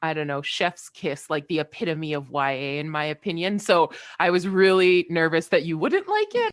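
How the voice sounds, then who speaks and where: A woman with a Canadian accent speaks in an ordinary speaking voice, fairly low in pitch, at a moderate pace with fairly even intonation and a dry, close sound with no echo. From Canada. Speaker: aspiring novelist. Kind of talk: casual chat.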